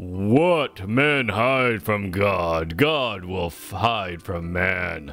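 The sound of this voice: Over music in the background, a man uses a booming, put-on character voice at a fairly low pitch, talking at a very slow pace with hardly any pauses.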